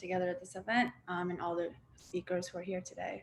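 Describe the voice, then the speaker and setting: A woman speaks at a medium pitch, somewhat breathy. Her pace is fairly quick. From Tibetan exile community, born in Dharamsala, India, raised in Boston area. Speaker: activist, grassroots coordinator. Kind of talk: panel talk.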